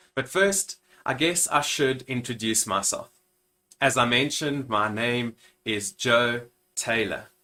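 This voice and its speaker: A man with a South African accent speaks in a bright, sharp tone at medium pitch. His pace is fairly slow, with long, frequent pauses. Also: ordinary pitch variation. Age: 30s. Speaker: minister and YouTuber. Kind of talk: channel introduction vlog.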